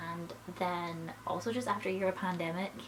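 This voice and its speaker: A woman's moderately paced speech comes through noticeable background noise. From Scotland. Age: 20s. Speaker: film school graduate and YouTuber. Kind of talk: casual talk to camera (vlog). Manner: chatty, rambling, slightly unsure.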